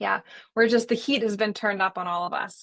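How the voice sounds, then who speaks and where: The speaker has an American accent, vocal fry and fairly even intonation. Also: woman, quiet background. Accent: American, noticed by others. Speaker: wedding photographer. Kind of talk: casual chat.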